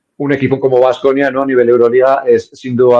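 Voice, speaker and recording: A man's medium-pitched voice with a Navarrese accent. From Navarre, Spain (Estella). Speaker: sports nutritionist. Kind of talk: interview. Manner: hesitant, many fillers.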